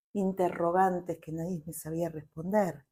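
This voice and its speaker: At a moderate pace, the voice sounds dark, mellow and somewhat breathy, with fairly even intonation. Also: woman. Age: 50s. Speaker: family constellations therapist. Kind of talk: interview.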